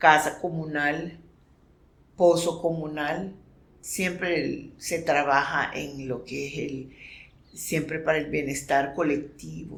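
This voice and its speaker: In a room with audible echo, a woman speaks very slowly, with very deep, low pitch and monotone, flat intonation. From Nicaragua, Caribbean coast (Miskito, Río Coco). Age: 60s. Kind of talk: testimony. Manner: halting, with repetitions.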